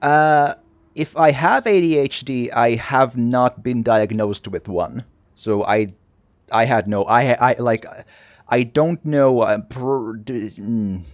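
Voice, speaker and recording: A man's very slow speech with a non-native accent and long, frequent pauses. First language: not English. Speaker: video game streamer. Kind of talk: let's play commentary.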